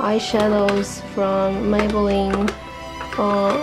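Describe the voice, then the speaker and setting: The speech unfolds at a very slow pace. Clear music plays in the background. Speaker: beauty vlogger. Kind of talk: casual talk to camera. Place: home room.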